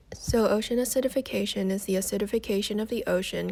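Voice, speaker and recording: The recording is very clean with a silent background. A woman speaks at a fairly quick pace with a medium pitch and fairly even intonation. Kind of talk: class presentation narration. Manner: monotone.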